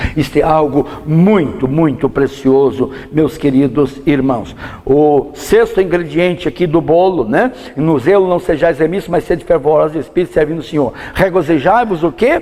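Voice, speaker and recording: Over noticeable background noise, a man talks at a moderate pace and fairly high pitch, with ordinary pitch variation and very even loudness. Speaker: pastor teaching Bible study. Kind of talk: sermon. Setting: church. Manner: animated.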